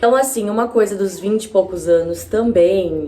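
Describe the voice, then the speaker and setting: Speaking at a moderate pace, a woman uses a plain, everyday voice with ordinary pitch variation. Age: 20s. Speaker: YouTuber. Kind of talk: casual vlog monologue. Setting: home video with natural light. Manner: conversational, informal.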